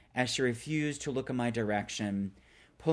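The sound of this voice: Reading done in an unforced reading voice.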